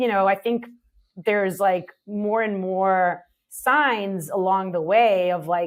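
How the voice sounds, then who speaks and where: Medium in pitch, a woman's voice moves with fairly even intonation. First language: not English. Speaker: startup CEO. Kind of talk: interview conversation. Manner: casual, many fillers.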